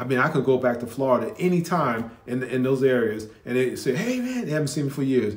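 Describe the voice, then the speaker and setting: A man with an American accent, medium in pitch, at a fairly quick pace amid audible room echo. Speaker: commentator reacting to videos. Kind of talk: casual reaction commentary. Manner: halting, with many restarts.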